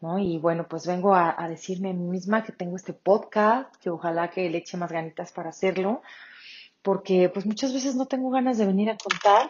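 A woman speaks at a medium pitch, somewhat breathy. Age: 40s. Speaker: podcast host. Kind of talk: casual monologue. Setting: home kitchen.

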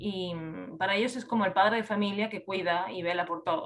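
This woman speaks with a Spanish accent. Her pace is fairly quick. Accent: Peninsular Spanish. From Spain. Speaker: creative writing teacher. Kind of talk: interview.

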